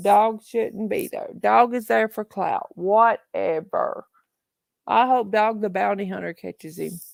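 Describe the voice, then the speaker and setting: A woman speaks at a fairly slow pace with a Southern accent. The recording is very clean with a silent background, and the sound is dry and close with no echo. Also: big swings in loudness. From Tennessee, Appalachia. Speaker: true crime livestream host. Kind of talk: casual livestream chat. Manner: animated.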